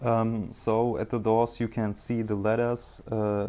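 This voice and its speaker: This man speaks in a fairly low pitch with a dark, mellow tone and a German accent. His intonation is monotone and flat, and his pace is fairly slow. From Germany. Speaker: gaming video creator. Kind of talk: gameplay commentary. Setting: home recording with microphone. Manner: halting, many fillers.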